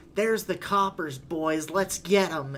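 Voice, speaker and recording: Over clear background noise, a man does a put-on character voice at a high pitch. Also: moderate pace. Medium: actual play. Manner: gruff, gangster-ish.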